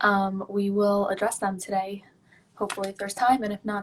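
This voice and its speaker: In a very clean recording with a silent background, a woman speaks at a fairly quick pace. Her medium-pitched voice is somewhat breathy. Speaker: mental health directory host. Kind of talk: live-stream interview. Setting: live stream. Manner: casual, filler-heavy.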